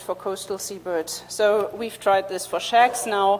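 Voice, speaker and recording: A woman speaks over noticeable background noise. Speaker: seabird researcher. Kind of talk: conference talk. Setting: conference stage.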